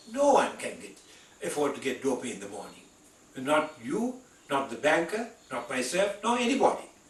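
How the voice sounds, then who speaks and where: Very wide pitch swings mark a man's speech, heard through noticeable background noise. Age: 80s+. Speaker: physician, internal medicine specialist. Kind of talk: medical lecture / patient education talk.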